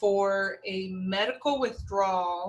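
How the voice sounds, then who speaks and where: She is a woman speaking with an American accent. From New York / New Jersey area. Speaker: math instructor. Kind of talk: course introduction lecture. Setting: recorded video lecture. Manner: casual, with many fillers.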